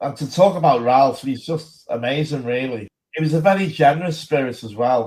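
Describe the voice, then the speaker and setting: Using an unremarkable speaking voice, a man with a fairly high pitch talks at a moderate pace, with ordinary pitch variation and big swings in loudness. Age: 60s. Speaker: political activist. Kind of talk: casual chat.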